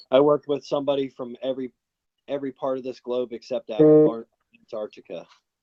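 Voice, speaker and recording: This man talks at a very fast pace in an American accent. His medium-pitched delivery is monotone and flat. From Florida. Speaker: vlogger. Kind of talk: casual chat.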